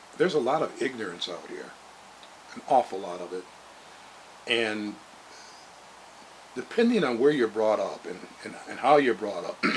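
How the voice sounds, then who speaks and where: A man speaks at medium pitch and a moderate pace with lively intonation, big swings in loudness and long, frequent pauses over noticeable background noise. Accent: American. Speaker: motivational vlogger. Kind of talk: motivational monologue. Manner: halting, many fillers.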